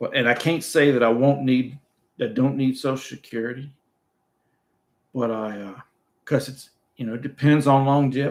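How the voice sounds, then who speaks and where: Pausing long and often, a man of medium pitch speaks at a moderate pace with fairly even intonation and big swings in loudness. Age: 60s. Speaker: retired YouTuber hosting live chat. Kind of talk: casual livestream chat. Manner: halting, repeats words.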